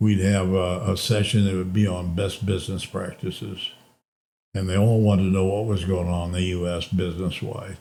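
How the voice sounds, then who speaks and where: This man speaks at a moderate pace in a fairly low, dark and mellow voice that is somewhat breathy, with fairly even intonation. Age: 80s+. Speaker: former basketball coach and sports administrator. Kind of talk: interview answer.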